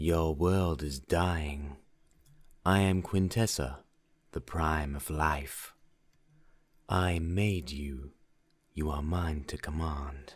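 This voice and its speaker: A man puts on a character voice with a very deep, low pitch, speaking very slowly with long, frequent pauses and fairly even intonation over a very clean recording with a silent background. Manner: commanding.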